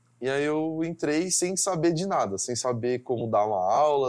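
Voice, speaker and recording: With ordinary pitch variation, a man with an unremarkable speaking voice keeps to a moderate speed. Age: 20s. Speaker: engineering student. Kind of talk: interview.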